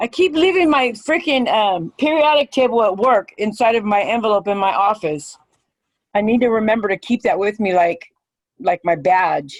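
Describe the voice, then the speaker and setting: At a fairly high pitch and moderate pace, a woman's voice makes very wide pitch swings while its loudness stays very even. The sound is dry and close, with no echo. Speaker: chemistry student. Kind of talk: casual chat. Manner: animated.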